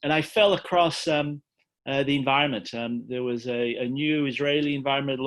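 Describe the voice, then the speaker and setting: This man talks fairly quickly with an Australian accent and a fairly high pitch. His intonation stays fairly even against a quiet background. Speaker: environmental peace organization director. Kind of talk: talk to online audience. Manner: halting, many fillers.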